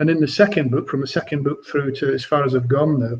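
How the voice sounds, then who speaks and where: A man's somewhat breathy voice at a fairly quick pace, with fairly even intonation. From Scotland, Edinburgh. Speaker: crime novelist. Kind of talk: author interview. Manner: halting, many repetitions.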